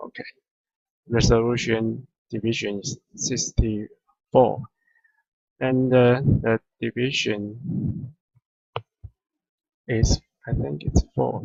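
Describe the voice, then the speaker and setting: A man with a non-native accent speaks at a very slow pace, with long, frequent pauses and big swings in loudness. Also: medium pitch for a man, ordinary pitch variation. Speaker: 3D software tutorial maker. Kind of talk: tutorial. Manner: halting, many fillers.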